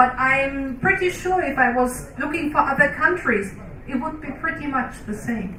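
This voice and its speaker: In a non-native accent, the speaker uses a raised, projected voice at a moderate pace, with noticeable background noise and audible room echo. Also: woman. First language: not English. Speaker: researcher. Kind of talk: panel discussion.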